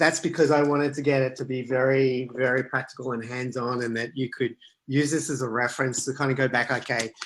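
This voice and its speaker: A man speaks with an Australian accent. His intonation is monotone and flat. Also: medium pitch for a man, fairly quick pace. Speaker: author and product management speaker. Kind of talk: online talk and Q&A. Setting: video call.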